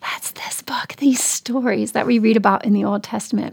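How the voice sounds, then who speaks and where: Her voice is a normal speaking voice, fairly high for a woman. She talks at a moderate pace. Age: 40s. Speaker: Bible teacher. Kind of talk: casual chat.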